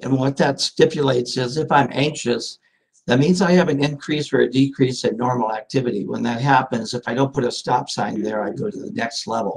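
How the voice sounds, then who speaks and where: A somewhat breathy man at medium pitch, fairly quick in pace, with ordinary pitch variation. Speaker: mental health therapist. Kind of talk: court testimony. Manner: halting.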